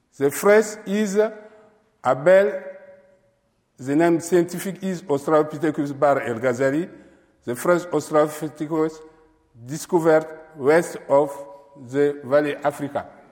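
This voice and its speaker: With a non-native accent, a man speaks at a fairly high pitch with ordinary pitch variation and long, frequent pauses. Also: moderate pace. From Chad. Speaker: paleontologist. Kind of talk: lecture. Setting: stage with audience. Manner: halting.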